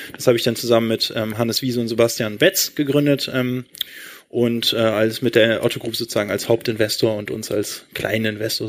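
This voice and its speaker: A man speaks at a fairly quick pace and medium pitch with fairly even intonation. It is a plain, everyday voice. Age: 30s. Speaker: e-commerce entrepreneur. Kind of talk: live stage interview. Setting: stage with audience.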